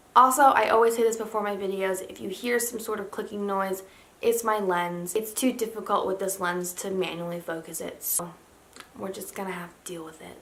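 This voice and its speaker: The woman's voice is bright and sharp, with a medium pitch and a fairly quick pace. Audible room echo is present. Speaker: lifestyle vlogger. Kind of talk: casual haul video. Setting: home, in pajamas. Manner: monotone.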